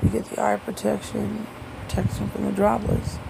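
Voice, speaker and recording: The talking proceeds at a moderate pace while noticeable background noise carries on underneath. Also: woman. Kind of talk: casual talk to camera. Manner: sarcastic.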